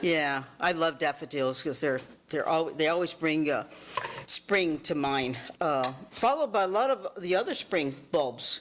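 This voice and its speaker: A woman with a very deep, low pitch speaks at a fairly slow pace with lively intonation and very even loudness over noticeable background noise. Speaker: master gardener. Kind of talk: talk to community group. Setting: neighborhood meeting with audience. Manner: animated.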